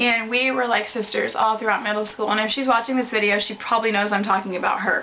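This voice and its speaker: A woman with a fairly high voice speaks in a fairly even tone over noticeable background noise. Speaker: beauty vlogger. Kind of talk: casual chat. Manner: hesitant.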